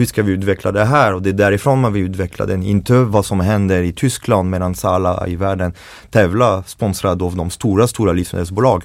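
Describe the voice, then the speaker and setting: Someone speaks with a French accent at a fairly quick pace on a very clean recording with a silent background. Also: man, very deep, low pitch for a man. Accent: French accent in Swedish. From France, Paris. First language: French (speaking Swedish). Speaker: chef and baker. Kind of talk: casual interview. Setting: studio. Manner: animated.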